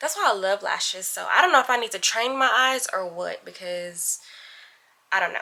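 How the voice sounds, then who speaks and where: A woman's medium-pitched voice at a very fast pace, with lively intonation. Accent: American. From New York City, Brooklyn. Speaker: vlogger. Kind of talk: casual vlog chat. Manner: animated.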